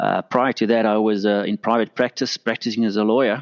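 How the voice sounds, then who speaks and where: A man talks fairly quickly in a medium pitch. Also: dry, close sound with no echo. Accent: South African. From South Africa, Pretoria. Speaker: compliance consultant, former lawyer. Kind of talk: interview.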